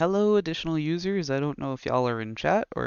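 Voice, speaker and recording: At a very fast pace, a man with an American accent speaks with lively intonation and fairly high pitch. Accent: southern accent, comes back when reading. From US South. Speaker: author reading own stories, streamer. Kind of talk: reading aloud. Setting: live stream with chat.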